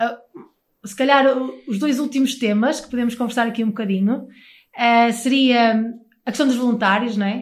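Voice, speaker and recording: A woman's fairly high voice at a moderate pace, with fairly even intonation and audible room echo. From northern Portugal, Porto area (Maia). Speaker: radio host. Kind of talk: casual chat.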